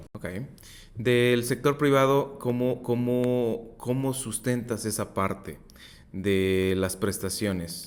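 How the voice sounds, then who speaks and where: A man at medium pitch and a very slow pace. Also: ordinary pitch variation. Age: 30s. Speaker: podcast host, insurance advisor. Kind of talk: interview.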